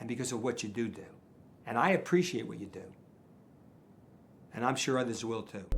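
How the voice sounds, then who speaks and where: In a room with audible echo, a man of medium pitch talks at a fairly quick pace with lively intonation, big swings in loudness, and long, frequent pauses. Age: 70s. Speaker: charity donor. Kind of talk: interview. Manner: repetitive, halting.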